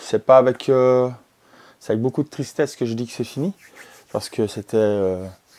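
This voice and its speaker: This man has a dark, mellow tone and ordinary pitch variation, speaking at a moderate pace. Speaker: retrogaming youtuber. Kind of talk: casual vlog monologue. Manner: halting, many fillers.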